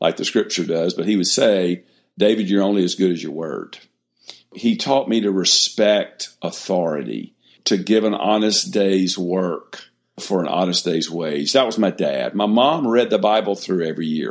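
A man speaks with an Alabama accent. His pitch is fairly low, with ordinary variation. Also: moderate pace. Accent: Southern US (Alabama). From US South, Mobile, Alabama. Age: 60s. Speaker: ministry founder and former pastor. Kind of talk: interview, personal testimony.

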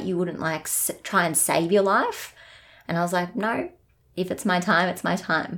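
In an Australian accent, a woman speaks at a moderate pace and fairly low pitch with fairly even intonation, on a very clean recording with a silent background. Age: 30s. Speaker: guest sharing lived experience of a parent's mental illness. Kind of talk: personal testimony in interview. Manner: halting, with fillers and repeats.

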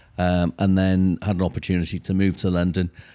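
A man with a Welsh accent and a very deep, low pitch speaks at a fairly quick pace in a dark, mellow tone, with a dry, close sound with no echo and a very clean recording over a silent background. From North Wales. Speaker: charity chief executive. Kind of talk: interview.

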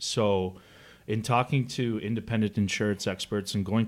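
A man with a Canadian accent and a normal speaking voice talks at a moderate pace at a fairly low pitch, in a very clean recording with a silent background. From Canada. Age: 30s. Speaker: former pro hockey player, foundation founder. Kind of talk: interview.

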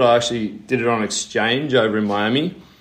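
Speaking in an Australian accent, a man uses a medium pitch, ordinary pitch variation and a moderate pace. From Australia, Sydney. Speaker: physiotherapist and reconditioning coach. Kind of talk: interview.

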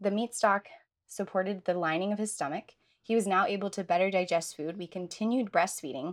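An ordinary speaking voice with an American accent, a fairly quick pace and ordinary pitch variation, on a very clean recording with a silent background. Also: woman. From United States. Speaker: nutritional therapist. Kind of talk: casual interview chat.

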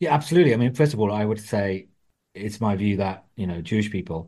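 Talking at a very fast pace, a man has a dark, mellow tone and a fairly low pitch. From England, Wolverhampton (West Midlands). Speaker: author and journalist. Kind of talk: interview.

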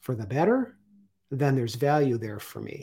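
The voice is somewhat breathy, with lively intonation at a fairly quick pace. The recording is very clean, with a silent background. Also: man. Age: 50s. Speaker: artist and retired Coast Guard veteran. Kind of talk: interview.

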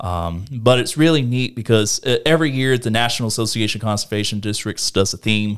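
Hardly pausing, a man with an American accent talks at a fairly quick pace in a plain, everyday voice of medium pitch, with ordinary pitch variation, in a very clean recording with a silent background. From US South, northeast Florida. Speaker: local elected official, engineer. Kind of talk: casual interview.

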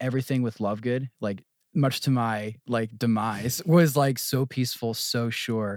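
On a very clean recording with a silent background, a man with an American accent and an unremarkable speaking voice talks at a moderate pace, with medium pitch and ordinary pitch variation. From New Jersey. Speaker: apprenticeship house director. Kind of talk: casual chat.

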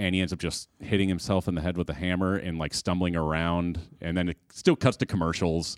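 With an American accent and a very deep, low pitch, a man speaks at a fairly quick pace with monotone, flat intonation and hardly any pauses, the sound dry and close with no echo. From Chicago suburbs. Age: 30s. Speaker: filmmaker and film school graduate. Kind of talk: casual chat.

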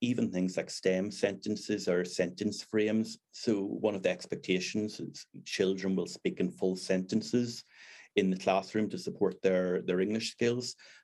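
In a Northern Irish accent, a man talks at a moderate pace with a fairly low pitch. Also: fairly even intonation. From Northern Ireland. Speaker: deputy head teacher. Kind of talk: interview chat.

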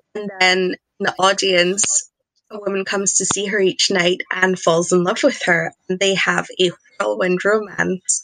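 With a Scottish accent, a woman speaks at a fairly slow pace, her medium pitch following a fairly even intonation. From Scotland. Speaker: podcast guest, TV reviewer. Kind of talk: casual chat.

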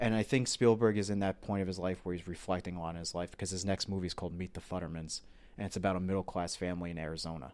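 A man with a very deep, low pitch speaks in an American accent. He goes at a very fast pace with fairly even intonation. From US South, Florida. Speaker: film podcast host. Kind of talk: casual chat.

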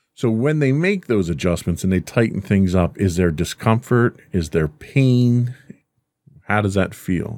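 A man with an ordinary speaking voice and fairly low pitch talks at a fairly slow pace, using lively intonation and very even loudness. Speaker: podcast host, father. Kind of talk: casual chat. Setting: studio.

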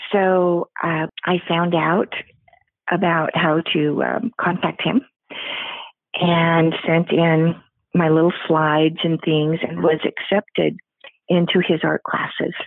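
A woman with an American accent speaks at a very slow pace in a fairly low voice. Her intonation is flat and monotone, with long, frequent pauses. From US Pacific Northwest. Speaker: artist. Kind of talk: interview. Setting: phone call.

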